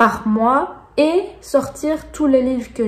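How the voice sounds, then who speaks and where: In a Belgian accent, a woman speaks at a very slow pace. Her pitch varies in an ordinary way. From Belgium. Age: 30s. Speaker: booktuber. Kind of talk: casual talk to camera.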